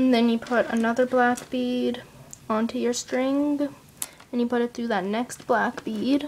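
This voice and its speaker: Against noticeable background noise, a woman with a high pitch speaks at a fairly slow pace, her intonation fairly even. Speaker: kandi crafting tutorial maker. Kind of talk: tutorial. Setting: at home, family noise in background. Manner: casual, chatty, somewhat hesitant.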